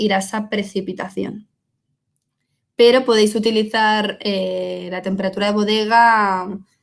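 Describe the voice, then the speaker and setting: An ordinary speaking voice from a woman, fairly high in pitch, fairly slow, with ordinary pitch variation. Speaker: wine technical support specialist. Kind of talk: webinar Q&A. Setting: online webinar.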